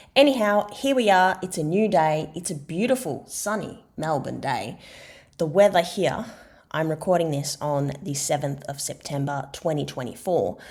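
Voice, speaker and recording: A woman with an Australian accent talks at a moderate pace with lively intonation. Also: fairly low pitch for a woman. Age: 30s. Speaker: podcast host and expressive writing practitioner. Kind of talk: solo podcast monologue. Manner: conversational.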